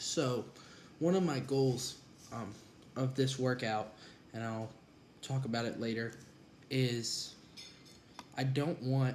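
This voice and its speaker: Amid audible room echo, a man speaks at a fairly slow pace with fairly even intonation and a medium pitch. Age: 20s. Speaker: college student and former wrestler. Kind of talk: vlog monologue. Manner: casual with frequent fillers.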